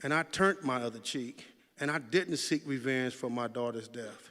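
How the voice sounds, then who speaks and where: A plain, everyday voice from a man at a moderate pace, with ordinary pitch variation. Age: 60s. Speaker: memorial speaker, community mentor. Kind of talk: eulogy speech.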